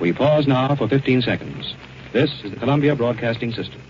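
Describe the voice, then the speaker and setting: Amid noticeable background noise, a man speaks at a very fast pace. His medium pitch shows ordinary variation. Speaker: radio announcer. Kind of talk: 1941 radio news bulletin. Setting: vintage radio broadcast recording.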